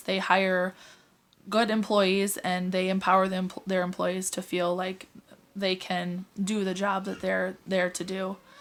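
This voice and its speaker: At a medium pitch, a woman speaks in a monotone, flat intonation. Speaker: student. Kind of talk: recorded class assignment presentation. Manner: halting, many fillers.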